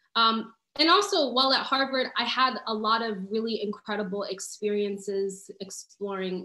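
Speaking with a New York accent, a woman uses a fairly high pitch and ordinary pitch variation, her tone bright and sharp against audible room echo. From New York City (Harlem). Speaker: community organizer. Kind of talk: panel discussion. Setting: video call. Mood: earnest, reflective. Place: home room. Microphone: video call.

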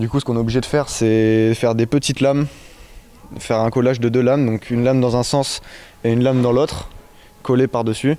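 A man talks very fast yet with long, frequent pauses, his dark, mellow voice held in a flat monotone at a very even loudness. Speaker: apprentice boat carpenter. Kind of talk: interview. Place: workshop. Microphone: handheld.

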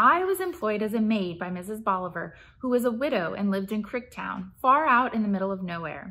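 Lively intonation in a natural reading voice

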